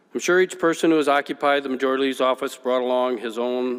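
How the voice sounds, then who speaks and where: Speaking very fast with an Upper Midwest accent, a man keeps his medium-pitched voice at a fairly even intonation. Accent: Upper Midwest American. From West Michigan, US. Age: 50s. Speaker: politician. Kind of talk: farewell speech. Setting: legislative chamber. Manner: formal.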